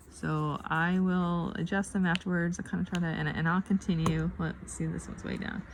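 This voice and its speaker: A woman at a moderate pace with hardly any pauses, over noticeable background noise. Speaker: craft video creator. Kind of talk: casual craft tutorial chat. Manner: hesitant, many fillers.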